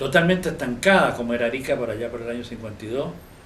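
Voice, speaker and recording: Audible echo fills the room. The speaker is a man. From Chile, Chillán. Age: 80s+. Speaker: architect and local historian. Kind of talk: interview testimony, recollection. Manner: halting, with fillers and self-corrections.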